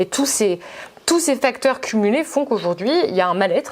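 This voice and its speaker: Lively intonation marks a woman's fairly quick speech. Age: 20s. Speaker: journalist. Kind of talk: debate. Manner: halting.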